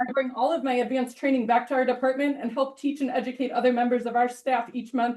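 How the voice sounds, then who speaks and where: A woman talks loudly and very fast, her high pitch held in a monotone, flat intonation. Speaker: ER nurse and volunteer EMT. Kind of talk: public comment at a meeting. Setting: village board meeting room. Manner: reading prepared statement.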